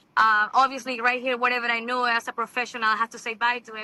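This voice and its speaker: A woman with a Venezuelan accent, fairly high pitch, bright and sharp tone, flat monotone intonation and a fairly quick pace. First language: Spanish. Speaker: TV host and model. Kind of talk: interview. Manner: halting.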